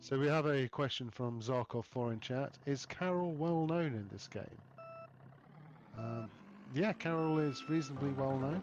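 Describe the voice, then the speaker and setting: A man's voice, with ordinary pitch variation, is heard over background music. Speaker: esports commentator. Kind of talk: live commentary. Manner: loud.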